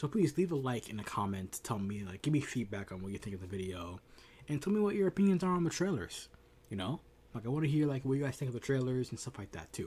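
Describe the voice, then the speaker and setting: A somewhat breathy man's voice at a medium pitch, with very wide pitch swings. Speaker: gaming youtuber. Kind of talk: casual video commentary. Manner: fast, sometimes slurred; hesitant, many fillers.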